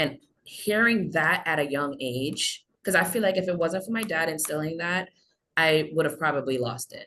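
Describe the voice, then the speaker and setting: A woman with an American accent speaks at a moderate pace, her pitch very deep and low with ordinary variation. Her tone is bright and sharp. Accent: American accent, Trinidadian can slip out. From Trinidad. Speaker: social work intern. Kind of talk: webinar panel discussion. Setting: video call.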